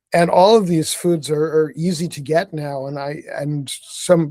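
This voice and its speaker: A man with a normal speaking voice, fairly high in pitch, with fairly even intonation. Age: 60s. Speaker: author and activist. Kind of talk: casual chat.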